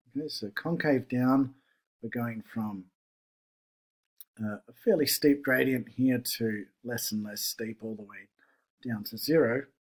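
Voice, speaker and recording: A man speaks at medium pitch with ordinary pitch variation and big swings in loudness. His pace is fairly slow, with long, frequent pauses. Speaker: math teacher. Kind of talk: tutorial.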